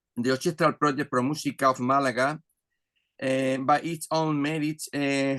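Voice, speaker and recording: This man has a fairly high pitch and speaks in a Spanish accent. The sound is dry and close with no echo. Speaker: orchestra conductor. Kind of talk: reading aloud. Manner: halting.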